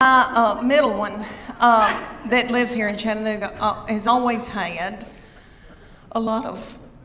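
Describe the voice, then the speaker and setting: Against noticeable background noise, a woman with a Southern US accent and fairly high pitch speaks at a fairly slow pace with fairly even intonation. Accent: Southern American. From Southern United States. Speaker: stand-up comedian. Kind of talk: stand-up comedy set.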